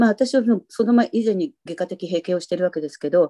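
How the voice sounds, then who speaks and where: Lively intonation marks this woman's dark, mellow tone as she speaks at a fairly quick pace in a dry, close sound with no echo. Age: 60s. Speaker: retired freelance writer. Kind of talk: casual interview.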